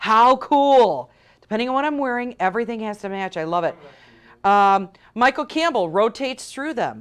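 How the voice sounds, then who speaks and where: The speaker talks at a moderate pace with a Chicago accent. The tone is animated and the intonation lively, against a quiet background. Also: woman, fairly high pitch for a woman. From Chicago western suburbs. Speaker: shopping channel host. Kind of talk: live TV sales pitch.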